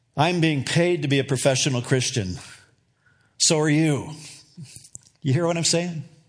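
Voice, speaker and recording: Somewhat breathy and fairly high-pitched, a man talks at a moderate pace with ordinary pitch variation and long, frequent pauses. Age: 60s. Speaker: pastor. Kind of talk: sermon. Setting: church.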